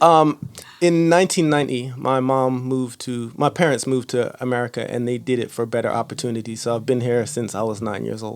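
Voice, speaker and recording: Ordinary pitch variation shapes this man's medium-pitched voice. He moves at a fairly quick pace. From born in Luton, England; raised in New Jersey from age 9. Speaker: podcast host and rapper. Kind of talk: interview. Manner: casual.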